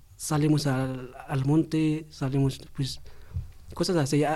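With a fairly high pitch and a dark, mellow tone, a man speaks at a fairly slow pace in a monotone, flat intonation. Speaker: young migrant in housing program. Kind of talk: testimony. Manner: halting.

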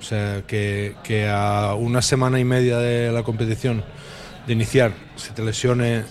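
There's noticeable noise behind this man as he talks in a medium pitch. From western Catalonia. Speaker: basketball coach. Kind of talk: radio talk show interview. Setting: live broadcast from a bar.

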